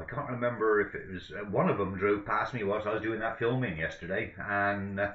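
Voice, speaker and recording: In an English accent, a man with a fairly low voice speaks at a moderate pace with audible room echo. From England. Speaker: livestream commentator on van auctions. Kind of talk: casual live commentary over an auction stream. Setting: home streaming setup with microphone. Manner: rambling, hesitant, lots of ums and self-corrections. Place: home room. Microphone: webcam.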